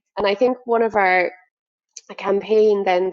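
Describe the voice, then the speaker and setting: This is a woman speaking. She has a Limerick accent. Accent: Irish (Limerick). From Ireland, Limerick. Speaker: agency director, business owner. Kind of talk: podcast interview. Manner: animated.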